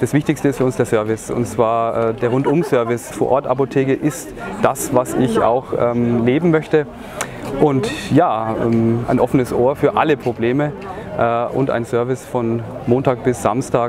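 Crowd noise in the background behind a man of medium pitch at a moderate pace. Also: fairly even intonation, very even loudness. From Franconia, Bamberg. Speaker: pharmacist. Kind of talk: on-location interview. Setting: outdoors at a shop opening event.

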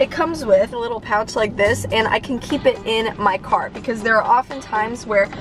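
A woman's fairly quick delivery with hardly any pauses and ordinary pitch variation, dry with no echo, over clear background music. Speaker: vlogger. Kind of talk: casual vlog chat, sponsor segment. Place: car. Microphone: phone near.

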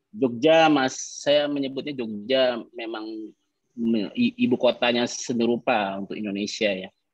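An ordinary speaking voice from a man, medium in pitch with ordinary pitch variation, fairly slow, in a dry sound with no echo against a quiet background. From West Sumatra, Padang Panjang; West Sumatra, Indonesia. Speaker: painter; guest. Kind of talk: casual chat. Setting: video call. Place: home room. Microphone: video call.

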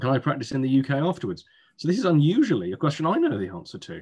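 A man talks with an English accent and lively intonation. The background is quiet. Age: 30s. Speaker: admissions consultant; admissions tutor. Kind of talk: webinar presentation. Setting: video call. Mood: relaxed, humorous. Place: home room. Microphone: webcam.

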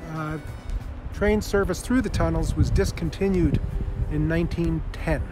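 A man is speaking. The sound is dry with no echo, and music plays in the background. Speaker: tour host. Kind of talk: casual vlog tour commentary. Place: open country. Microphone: phone near.

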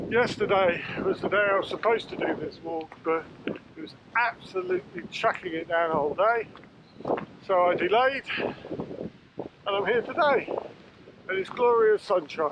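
A man with a high pitch and ordinary pitch variation speaks at a moderate pace with long, frequent pauses, in a dry sound with no echo and noticeable background noise. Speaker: hiker vlogger. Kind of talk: casual vlog chat. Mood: cheerful, relaxed. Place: open country. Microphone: phone near.

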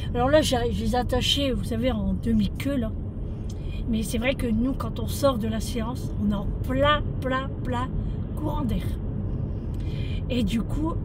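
A woman talks very slowly amid loud background noise. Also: dry sound with no echo. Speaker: vlogger. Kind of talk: casual vlog chat. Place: car. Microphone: phone near.

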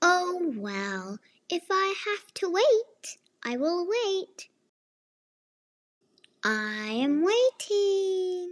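A woman uses a cartoonish character voice, extremely high-pitched with big pitch swings. She goes very slowly with long, frequent pauses in a dry, close sound with no echo.

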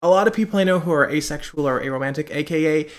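At a moderate pace, a man speaks in a high voice with ordinary pitch variation. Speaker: vlogger. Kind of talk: casual vlog chat. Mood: personal, laughing, candid. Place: home room. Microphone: webcam.

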